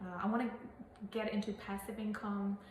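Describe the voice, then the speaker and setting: A woman with a Burmese accent talks at a moderate pace with fairly even intonation, over noticeable background noise. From Burma. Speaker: real estate agent. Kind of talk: casual interview. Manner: halting.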